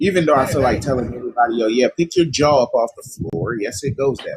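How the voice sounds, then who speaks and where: A man speaks in a somewhat breathy voice with ordinary pitch variation and big swings in loudness. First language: not English. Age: 30s. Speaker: livestream host. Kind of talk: livestream talk. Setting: live stream. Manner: halting.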